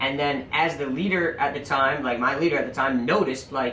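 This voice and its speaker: With audible room echo, a man talks at a fairly high pitch and a fairly quick pace. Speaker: podcast guest, shop manager. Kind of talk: casual chat. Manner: loud.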